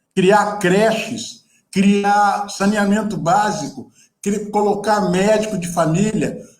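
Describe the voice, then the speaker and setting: Very slowly, a man speaks at a high pitch. Room echo is audible. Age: 70s. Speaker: photographer and activist. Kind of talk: panel talk. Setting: video call. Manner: animated.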